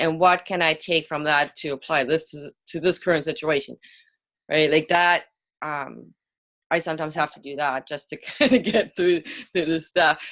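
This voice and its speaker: With a non-native accent, a woman speaks at a moderate pace in a very deep, low pitch, showing ordinary pitch variation and big swings in loudness, in a very clean recording with a silent background. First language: not English. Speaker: author and business owner. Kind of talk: interview conversation. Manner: hesitant, with many fillers and repeated words.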